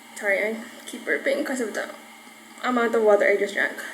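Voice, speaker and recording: A woman with a fairly high pitch speaks in a relaxed tone over noticeable background noise. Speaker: YouTuber. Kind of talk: casual vlog.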